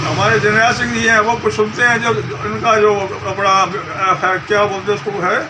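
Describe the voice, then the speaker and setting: A man's raised, projected, high-pitched voice with ordinary pitch variation, audible room echo and noticeable background noise. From Delhi, India. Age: 70s. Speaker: interviewed passer-by. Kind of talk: street interview (vox pop).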